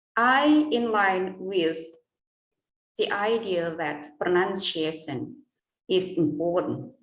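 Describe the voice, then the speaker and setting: Lively in intonation but very slow in pace, a woman speaks in an Indonesian accent with audible room echo. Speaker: English lecturer. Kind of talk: conference presentation.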